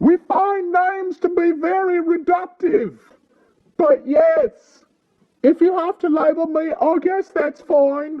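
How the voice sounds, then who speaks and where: A put-on character voice from a man, pitched extremely high, fairly slow in pace. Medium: read story. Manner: earnest, plain-spoken.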